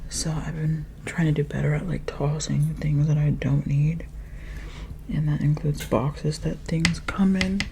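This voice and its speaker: A soft-spoken woman at a moderate pace, with noticeable background noise. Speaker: ASMR creator. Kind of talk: ASMR makeup rambling.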